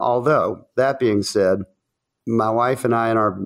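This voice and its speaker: A man with a Southern US accent at a medium pitch, fairly slow pace and fairly even intonation. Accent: Southern American. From US South. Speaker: chef and restaurant owner. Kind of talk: casual interview chat.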